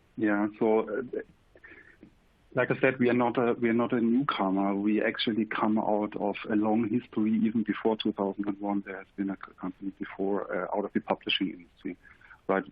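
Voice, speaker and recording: Speaking at a fairly quick pace, a man with a German accent keeps a fairly low pitch and a monotone, flat intonation. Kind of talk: webinar presentation. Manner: halting, with fillers.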